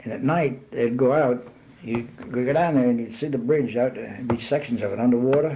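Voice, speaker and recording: A man with an American accent at a moderate pace, fairly even in intonation, over noticeable background noise. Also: medium pitch for a man. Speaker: retired army engineer officer, war veteran. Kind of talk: oral history interview answer. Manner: reminiscing, hesitant.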